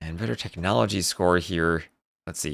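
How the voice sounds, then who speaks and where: A man with an American accent and vocal fry, in a very clean recording with a silent background. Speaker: esports caster. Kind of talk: live commentary. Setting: live stream. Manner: fast; animated.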